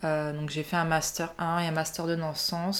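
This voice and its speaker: Her pitch very deep and low, a woman speaks at a fairly slow pace in a monotone, flat intonation. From southern France, Nice. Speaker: podcast guest sharing personal story. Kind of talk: personal testimony in casual chat.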